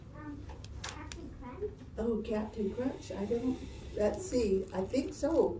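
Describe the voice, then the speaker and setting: Over noticeable background noise, someone speaks very slowly in a Southwestern US accent. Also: woman, fairly high pitch for a woman. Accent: Navajo-accented English. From Navajo Nation, northern Arizona; Arizona. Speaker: cultural presenter; presenter. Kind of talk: presentation to children. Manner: halting. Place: classroom. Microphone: camera far.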